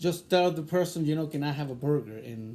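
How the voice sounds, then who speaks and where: A man speaks with a fairly high pitch and a dark, mellow, somewhat breathy tone. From Chile. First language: Spanish. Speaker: interviewee. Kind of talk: interview. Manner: hesitant, many fillers.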